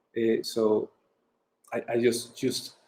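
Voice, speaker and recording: The speaker is a man with a medium-pitched voice. He talks with monotone, flat intonation. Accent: Mexican. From Mexico. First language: Spanish. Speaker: brand designer. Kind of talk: interview. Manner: halting.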